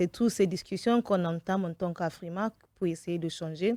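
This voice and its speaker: Over a very clean recording with a silent background, a woman speaks at a moderate pace in a fairly low pitch, her tone dark and mellow, her intonation fairly even, the sound dry and close with no echo. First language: English (speaking French). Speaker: event producer. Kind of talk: radio interview. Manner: halting, with fillers.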